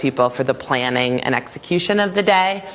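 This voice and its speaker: A woman's fairly quick, lively voice over noticeable background noise. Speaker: school leader presenting at staff training. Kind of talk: conference presentation. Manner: fast.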